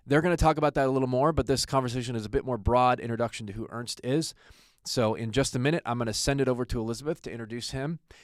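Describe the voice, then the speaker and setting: A man with an American accent talks at a very fast pace and medium pitch with ordinary pitch variation, in a dry, close sound with no echo on a very clean recording with a silent background. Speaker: attorney and podcast host. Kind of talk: podcast introduction. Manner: casual, joking.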